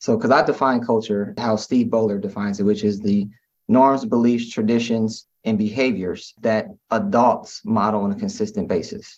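A normal speaking voice from a man at medium pitch and moderate pace, with fairly even intonation. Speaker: school leader and author. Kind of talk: interview. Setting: video call.

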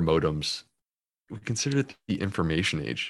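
A man with a plain, everyday voice and an American accent speaks at a moderate pace with lively intonation against a quiet background. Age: 40s. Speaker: gastroenterologist and author. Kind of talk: podcast interview.

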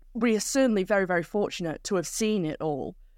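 In a Manchester accent, the speaker moves at a moderate pace with very wide pitch swings, in a dry, close sound with no echo and a very clean recording with a silent background. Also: woman. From northern England, South Manchester. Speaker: cycling commentator. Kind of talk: interview.

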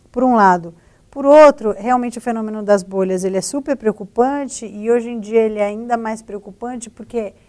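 Her voice is a normal speaking voice, moving at a moderate pace with ordinary pitch variation. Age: 40s. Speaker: investigative journalist, news agency director. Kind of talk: panel discussion.

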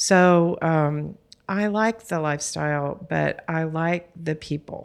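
With a Texan accent, a woman of fairly low pitch talks at a very slow pace with fairly even intonation in a very clean recording with a silent background. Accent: Texan American. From Texas. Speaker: art philanthropy board president. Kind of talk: interview conversation. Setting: studio.

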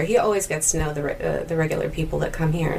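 There is noticeable background noise. Over it, a woman speaks in a very deep, low voice. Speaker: festival poster model and singer. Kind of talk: casual interview. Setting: recorded in a theater mezzanine with background noise.

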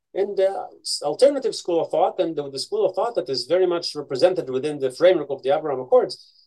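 Speaking at a very fast pace, a man uses lively intonation in a high-pitched voice with a dark, mellow tone. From Israel, Haifa. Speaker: Middle East researcher. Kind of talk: interview.

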